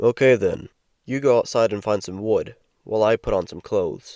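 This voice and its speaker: Putting on a raspy, growling character voice, a man speaks at a medium pitch and a moderate pace. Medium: read story. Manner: curt, stern.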